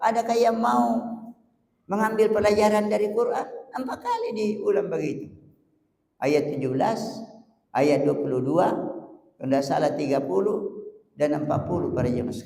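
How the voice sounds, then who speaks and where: A man's high voice with very wide pitch swings, long, frequent pauses, moderate pace and audible room echo. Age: 70s. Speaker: preacher. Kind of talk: sermon.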